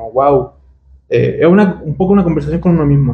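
Speaking at a fairly quick pace, a man sounds somewhat breathy, with ordinary pitch variation. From Chile, Santiago. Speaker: illustrator. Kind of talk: interview. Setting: recording booth at a festival.

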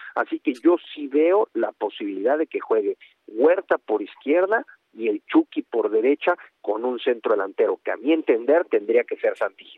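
His loudness rises and falls in big swings. The man keeps a moderate pace. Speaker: national team reporter. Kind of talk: radio sports report.

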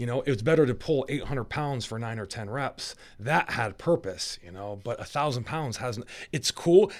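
With an ordinary speaking voice, a man at medium pitch speaks at a moderate pace with lively intonation and big swings in loudness, on a very clean recording with a silent background. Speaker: strongman athlete. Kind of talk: casual chat. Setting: studio.

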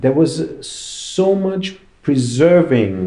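Audible room echo surrounds a man speaking in a dark, mellow tone at a fairly slow pace with lively intonation. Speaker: graffiti artist. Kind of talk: interview.

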